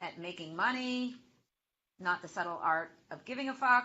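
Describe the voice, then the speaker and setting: In a Boston accent, a woman speaks. She keeps a fairly slow pace. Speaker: social media marketing expert. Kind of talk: webinar interview. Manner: animated.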